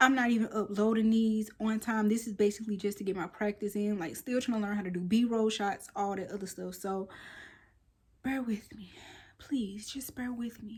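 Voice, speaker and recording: A woman speaks with a fairly high pitch and a somewhat breathy quality. Her intonation is fairly even, on a very clean recording with a silent background. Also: moderate pace, big swings in loudness. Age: 30s. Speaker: lifestyle vlogger. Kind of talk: casual vlog talk.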